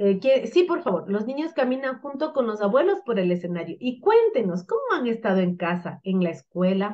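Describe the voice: A woman talks at a fairly quick pace and a medium pitch, with big pitch swings and few pauses.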